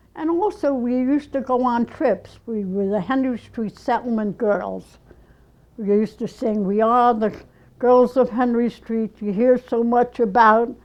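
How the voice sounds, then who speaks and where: Fairly slow, fairly high-pitched speech from a woman, the pitch varying in an ordinary way. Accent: New York. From New York City (Bronx, Lower East Side). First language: Yiddish. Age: 80s+. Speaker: ceramic artist. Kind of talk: oral history interview. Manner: halting.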